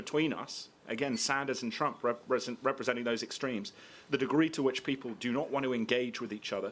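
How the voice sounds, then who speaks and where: With a British accent, a man talks at a fairly quick pace in a medium-pitched voice with fairly even intonation, recorded very cleanly against a silent background. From grew up abroad, American. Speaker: political writer. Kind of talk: public debate. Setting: stage with audience.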